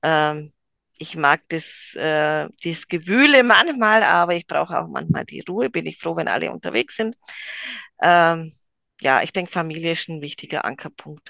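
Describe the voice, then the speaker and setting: A woman speaks with big swings in loudness. The sound is dry and close with no echo, over a quiet background. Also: moderate pace. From rural Germany. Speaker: psychomotor therapy trainer, gymnastics teacher. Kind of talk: casual interview.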